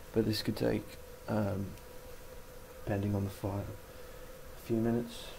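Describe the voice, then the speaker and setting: A man's quiet whisper at a fairly quick pace, with noticeable background noise. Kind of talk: casual how-to tutorial talk to camera. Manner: almost whispering, quiet.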